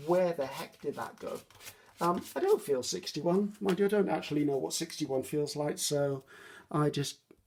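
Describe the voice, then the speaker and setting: A woman with a British accent speaks at a moderate pace. Her tone is dark and mellow. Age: 60s. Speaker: craft youtuber. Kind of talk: craft tutorial with casual chat. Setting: home craft desk, filmed on iPad. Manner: casual, hesitant with many ums.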